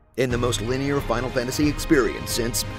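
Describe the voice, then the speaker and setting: Music in the background behind a man talking at a fairly quick pace. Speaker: voiceover narrator. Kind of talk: parody movie trailer narration.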